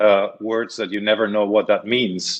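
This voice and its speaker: A man with a German accent, fairly low pitch and a fairly slow pace. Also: quiet background. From Germany. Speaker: magician and comedian. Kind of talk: interview. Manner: halting, many fillers; animated.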